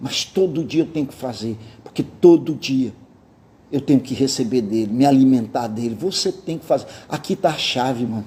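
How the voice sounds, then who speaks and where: An ordinary speaking voice from a man, medium in pitch, at a moderate pace with lively intonation. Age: 60s. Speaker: pastor. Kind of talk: sermon. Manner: casual conversational.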